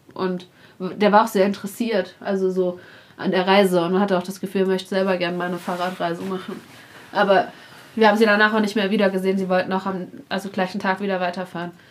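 Monotone, flat intonation marks a woman's medium-pitched voice. She speaks at a very fast pace. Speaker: travel podcaster on a cycling trip. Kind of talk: casual chat. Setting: guesthouse in a mountain village.

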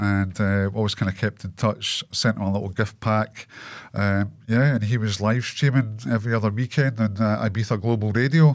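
On a very clean recording with a silent background, a man speaks with a Scottish accent at a moderate pace. His pitch is fairly low and his intonation fairly even. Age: 40s. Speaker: clothing brand owner and cancer patient. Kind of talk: casual interview. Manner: talkative.

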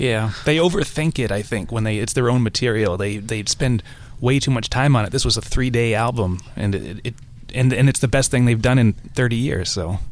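A man talks at a moderate pace with a medium pitch and ordinary pitch variation. Noticeable background noise can be heard. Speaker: music journalist. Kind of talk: panel discussion. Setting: studio.

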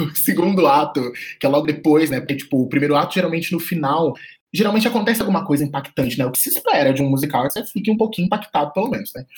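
Here a man talks very fast. His pitch is fairly high and his intonation lively. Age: 20s. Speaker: podcast co-host, art director. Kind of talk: casual chat.

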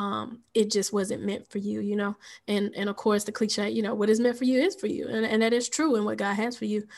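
A woman has an unremarkable speaking voice, fairly high in pitch. She talks at a fairly quick pace with fairly even intonation. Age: young. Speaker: podcast co-host. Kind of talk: casual chat.

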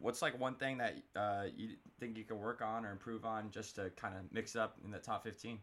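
A normal speaking voice from a man with an American accent, medium in pitch, at a moderate pace with fairly even intonation. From Florida. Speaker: podcast host. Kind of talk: casual interview.

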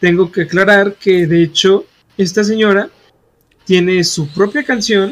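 A man's high voice with ordinary pitch variation at a fairly slow pace. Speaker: podcast co-host. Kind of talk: reading aloud; casual chat.

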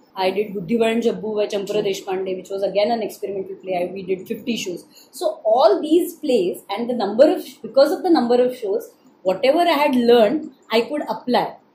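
A woman's fairly high voice moves through very wide pitch swings and big swings in loudness. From Maharashtra, India. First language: Marathi (speaking Hindi). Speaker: stage actor. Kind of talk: interview conversation.

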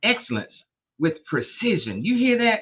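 Her tone upbeat and enthusiastic, a woman speaks with very wide swings in pitch. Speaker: faith podcast host. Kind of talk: live interview show, faith-focused. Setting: live stream. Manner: upbeat, enthusiastic.

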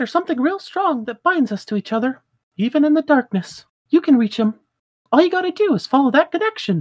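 Someone rattles off lines at a very fast pace in a put-on character voice. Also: female-sounding voice, high pitch for a woman. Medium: game stream. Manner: earnest, encouraging.

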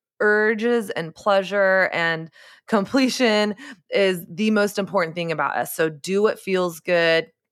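In a very clean recording with a silent background, a woman with a plain, everyday voice speaks at a fairly slow pace, medium in pitch, with ordinary pitch variation. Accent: American. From Texas. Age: 30s. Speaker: author and podcaster. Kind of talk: podcast interview.

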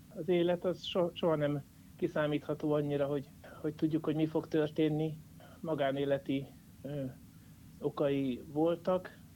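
A man with a fairly high yet dark, mellow voice speaks in a monotone, flat intonation. He keeps a moderate pace broken by long, frequent pauses. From Hungary, Jászberény. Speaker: caricaturist. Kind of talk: interview. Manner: halting.

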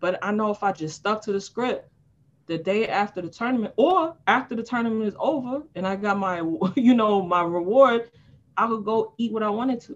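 Here a woman speaks at a moderate pace. Her pitch is fairly high, with ordinary variation. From New York City, Harlem. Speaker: life coach. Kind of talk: casual chat.

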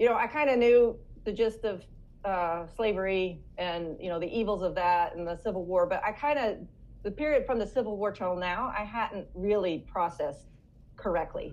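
Here a woman talks at a moderate pace in a normal speaking voice, medium in pitch with ordinary pitch variation. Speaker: author and speaker; homeschooling mother. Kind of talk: casual interview chat.

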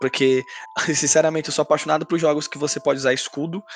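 Noticeable background noise accompanies a man whose voice sits fairly high. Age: 20s. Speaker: podcast co-host. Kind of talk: casual chat.

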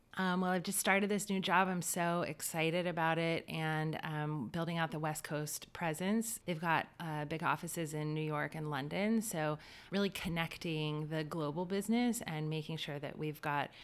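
A woman with an American accent speaks at a moderate pace in a very deep, low voice. Her intonation stays fairly even. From US South, Wilmington, North Carolina. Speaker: media partnerships executive. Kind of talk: interview conversation.

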